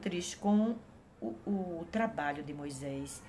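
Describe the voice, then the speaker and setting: Very wide pitch swings stand out against noticeable background noise. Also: woman. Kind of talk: Bible devotional talk. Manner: halting, with many fillers.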